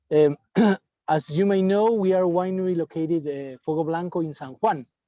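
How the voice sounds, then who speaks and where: A man with a Spanish accent, high-pitched yet dark and mellow in tone, with ordinary pitch variation and a dry, close sound with no echo over a quiet background. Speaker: winemaker. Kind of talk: wine presentation. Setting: video call from outdoors at a dam. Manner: halting. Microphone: unstable wifi connection.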